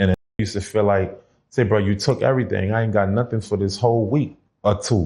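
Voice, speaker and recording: A man's very fast, somewhat breathy delivery, dark and mellow in tone, at a fairly low pitch with fairly even intonation. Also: very even loudness. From New Orleans, Louisiana, US South. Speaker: former prison inmate. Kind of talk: casual interview.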